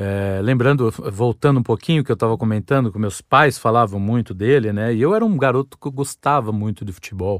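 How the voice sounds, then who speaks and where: On a very clean recording with a silent background and a dry, close sound with no echo, a man of medium pitch talks at a fairly quick pace. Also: ordinary pitch variation, hardly any pauses. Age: 40s. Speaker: podcast host. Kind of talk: solo monologue, casual storytelling. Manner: halting, repeated words.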